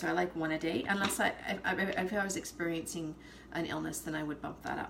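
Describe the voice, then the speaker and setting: A woman speaks over noticeable background noise. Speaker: essential oils seller. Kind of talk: casual live video chat. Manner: fast.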